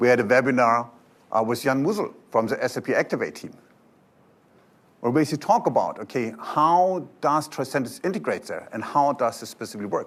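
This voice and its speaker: A man with a German accent speaks at a fairly quick pace in a medium-pitched voice, his pitch swinging very widely. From Germany. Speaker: software company presenter. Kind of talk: conference talk.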